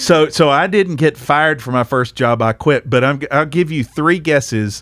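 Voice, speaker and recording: A man with a Southern US accent speaks at a fairly high pitch with ordinary pitch variation. The sound is dry and close, with no echo. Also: moderate pace. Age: 50s. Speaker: podcast host. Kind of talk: casual chat.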